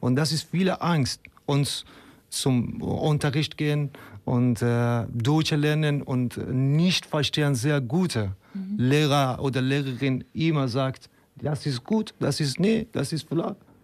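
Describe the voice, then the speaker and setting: A man talks at a very slow pace with a fairly high pitch. His pitch varies in an ordinary way, and his loudness stays very even. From Afghanistan. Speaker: refugee and activist. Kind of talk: interview. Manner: halting.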